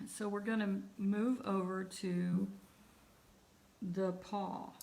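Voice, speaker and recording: Room echo is audible as a woman talks at a very slow pace. Her medium-pitched voice stays monotone and flat. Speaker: art teacher. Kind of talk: online class tutorial. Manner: trails off when thinking.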